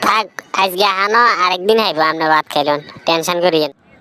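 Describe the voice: A cartoonish character voice, female-sounding, with medium pitch for a woman and a fairly quick pace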